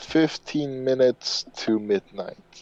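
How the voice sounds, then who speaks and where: The man's pitch is medium and his intonation fairly even. The sound is dry and close with no echo, though background noise is noticeable. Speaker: podcast co-host. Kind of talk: casual chat. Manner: slow.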